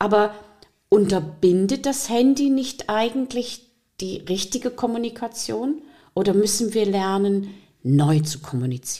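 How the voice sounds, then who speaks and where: Her pitch swings very widely. This woman speaks at a medium pitch. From Saxony, eastern Germany (Riesa). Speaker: podcast host, teacher. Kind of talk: interview.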